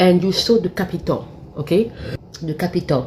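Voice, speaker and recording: A woman with a French accent, fairly low in pitch, at a moderate pace with lively intonation, over noticeable background noise. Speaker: YouTuber. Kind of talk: casual monologue commentary. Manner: halting.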